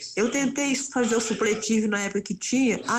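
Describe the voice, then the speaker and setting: Against noticeable background noise, a woman talks at a moderate pace in a fairly high voice with fairly even intonation. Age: 70s. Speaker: radio listener, former seamstress. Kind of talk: voice message testimony. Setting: recorded voice message.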